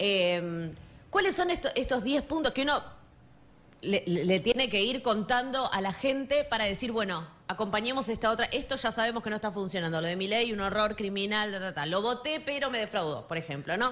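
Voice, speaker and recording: In a Rioplatense accent, a woman speaks at a moderate pace. Her pitch is fairly high and her intonation lively. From Argentina, La Matanza (Catán). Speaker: radio host. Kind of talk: radio interview. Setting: radio studio.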